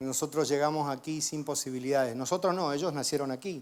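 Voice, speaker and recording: A normal speaking voice from a man, fairly high in pitch, with fairly even intonation at a moderate pace, on a very clean recording with a silent background. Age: 50s. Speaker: guest preacher. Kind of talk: sermon with personal testimony.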